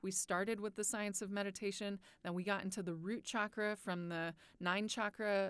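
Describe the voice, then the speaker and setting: Delivered at a moderate pace in a flat monotone, the speech comes from a very clean recording with a silent background. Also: woman. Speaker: meditation guide and biologist. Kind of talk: podcast-style teaching talk.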